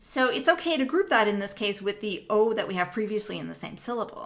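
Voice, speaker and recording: Audible room echo surrounds a woman speaking with lively intonation in a Canadian accent. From Canada, Northern Ontario. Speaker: music professor. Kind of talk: lecture. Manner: explanatory, measured.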